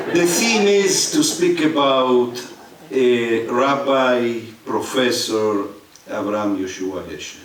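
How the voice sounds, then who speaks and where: The speech moves at a very slow pace with lively intonation. Audible room echo and noticeable background noise are present. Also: man, medium pitch for a man. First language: Spanish. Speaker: rabbi and lecturer. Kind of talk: lecture. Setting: synagogue sanctuary with audience. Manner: halting, with frequent fillers.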